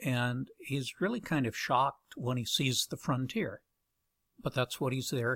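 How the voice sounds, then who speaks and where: Speaking at a fairly slow pace, a man uses a medium pitch with ordinary variation, in a dry, close sound with no echo. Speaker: science fiction author. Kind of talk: casual interview. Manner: halting, frequent fillers.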